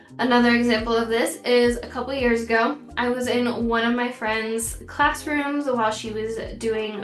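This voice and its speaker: Monotone, flat intonation comes through noticeable background noise and audible room echo. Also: woman. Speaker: teacher. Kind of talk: tutorial.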